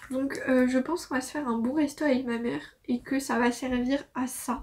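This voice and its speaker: The woman's high pitch and fairly slow pace come through on a very clean recording with a silent background. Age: 20s. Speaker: law student. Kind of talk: casual talk to camera.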